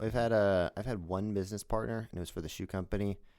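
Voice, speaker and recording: A man with a Californian accent talks at a very fast pace in a fairly low voice with ordinary pitch variation. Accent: Californian American. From Los Angeles. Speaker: podcast host and acrobat. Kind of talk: podcast interview. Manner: casual.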